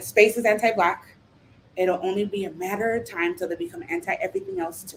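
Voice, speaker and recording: This woman talks in an animated tone at a fairly quick pace. Her pitch sits in the medium range. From Los Angeles (Silver Lake, Echo Park), Salvadoran family. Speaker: poet. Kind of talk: Q&A interview. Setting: virtual live stream.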